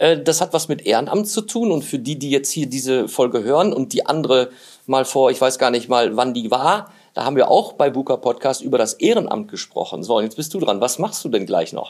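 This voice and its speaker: A man with an ordinary speaking voice and medium pitch talks at a fairly quick pace, his intonation lively. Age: 50s. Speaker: podcast host. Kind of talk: casual interview. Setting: guest's office.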